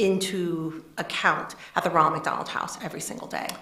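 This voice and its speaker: Amid audible room echo and noticeable background noise, a woman with an American accent speaks at a moderate pace, her medium pitch following fairly even intonation. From Pennsylvania, US. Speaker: nonprofit director. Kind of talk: interview.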